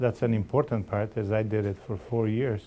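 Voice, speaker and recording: With a Macedonian accent, a man speaks at a moderate pace with a fairly low pitch, a dark, mellow tone and fairly even intonation. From Macedonia, moved to Canada at 13. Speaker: election candidate. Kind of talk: interview.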